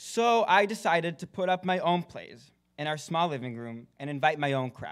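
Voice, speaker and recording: On a very clean recording with a silent background, a man with an American accent uses an unremarkable speaking voice, lively intonation and a moderate pace. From Israel, then Texas. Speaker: film student. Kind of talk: award acceptance speech. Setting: stage with audience.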